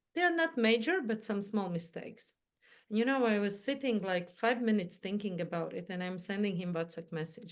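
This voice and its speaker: At a moderate pace, a woman with a non-native accent speaks at a medium pitch with ordinary pitch variation. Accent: foreign accent, imperfect English. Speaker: mindset coach and entrepreneur. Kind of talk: interview chat.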